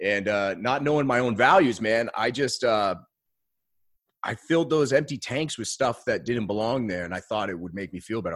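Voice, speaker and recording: An American-accented man with an unremarkable speaking voice and medium pitch speaks with lively intonation at a moderate pace, in a very clean recording with a silent background. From Maine, US. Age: 30s. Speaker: business coach. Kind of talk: casual interview chat.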